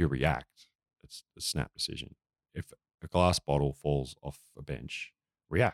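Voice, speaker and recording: A man with an Australian accent speaks with a very deep, low pitch, vocal fry and ordinary pitch variation, in a dry, close sound with no echo. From Australia, rural Victoria. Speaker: comedian and musician. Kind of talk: casual chat.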